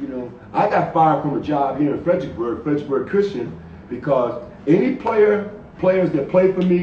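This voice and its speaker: A high-pitched man with an American accent at a fairly quick pace, plus audible room echo and noticeable background noise. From Hartford, Connecticut. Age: 70s. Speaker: basketball coach. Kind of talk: interview on a live stream.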